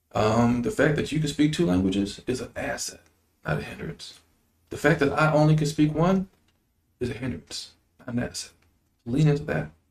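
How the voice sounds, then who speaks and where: A somewhat breathy man's voice at a moderate pace, fairly high-pitched and lively in intonation, broken by long, frequent pauses. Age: 40s. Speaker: state politician. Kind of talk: interview. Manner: animated.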